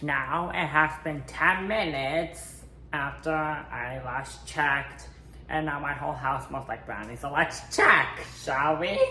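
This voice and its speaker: Very slow speech over noticeable background noise. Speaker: home baking vlogger. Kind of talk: casual cooking tutorial. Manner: animated.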